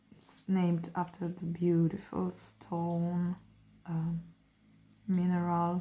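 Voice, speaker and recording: Speaking at a very slow pace, a woman uses a fairly low pitch and a dark, mellow, somewhat breathy tone with monotone, flat intonation. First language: not English. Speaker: artist. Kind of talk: art tutorial, swatching demonstration. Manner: relaxed, hesitant with fillers.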